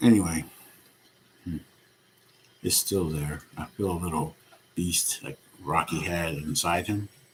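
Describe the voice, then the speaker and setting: Soft-spoken man with a very deep, low pitch, fairly even intonation, a fairly slow pace and long, frequent pauses, over noticeable background noise. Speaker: vlogger. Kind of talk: personal vlog monologue.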